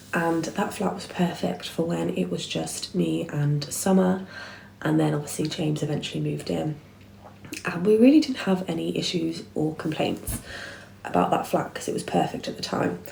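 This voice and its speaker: A quiet woman with an English accent at a moderate pace, with audible room echo and noticeable background noise. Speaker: vlogger. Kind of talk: storytime monologue. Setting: at home, dining room.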